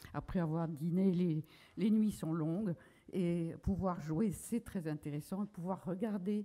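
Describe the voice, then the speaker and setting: A woman speaks at a very slow pace in a fairly low, dark, mellow tone. Her intonation is fairly even. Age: 80s+. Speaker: association founder. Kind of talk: conference talk. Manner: halting, many hesitations.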